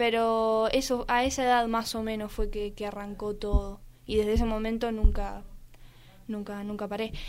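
A woman with a fairly high pitch speaks at a moderate pace in a monotone, flat intonation, with audible room echo. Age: 20s. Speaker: athlete. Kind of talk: interview.

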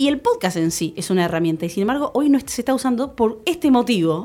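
A woman talks very fast at a fairly high pitch with very wide pitch swings, on a very clean recording with a silent background. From Buenos Aires, Argentina. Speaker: podcast review columnist. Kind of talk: casual radio interview chat.

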